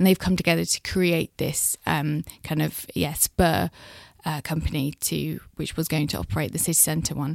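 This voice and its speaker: A woman's very deep, low pitch with vocal fry, fairly even intonation and a moderate pace, dry and close with no echo, on a very clean recording with a silent background. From South West England, near Bristol. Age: 20s. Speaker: political reporter. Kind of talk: casual chat. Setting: studio.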